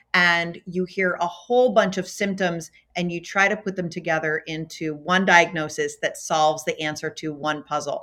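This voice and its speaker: A woman with an American accent speaks at a moderate pace, her pitch fairly low and her intonation fairly even. It is an ordinary speaking voice with hardly any pauses. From US, Baltimore, Maryland. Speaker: physician and healthcare executive. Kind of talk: interview. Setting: corporate office.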